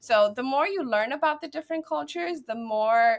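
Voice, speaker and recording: At a fairly quick pace, a woman talks in an American accent. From New Jersey, US. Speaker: guest, professional association vice president. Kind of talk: podcast interview.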